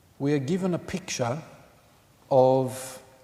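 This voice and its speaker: The pitch rises and falls in an ordinary way. Noticeable background noise sits beneath the voice. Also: man. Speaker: Orthodox priest giving a sermon. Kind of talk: sermon / homily in church. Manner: measured, explanatory, with filler 'um'.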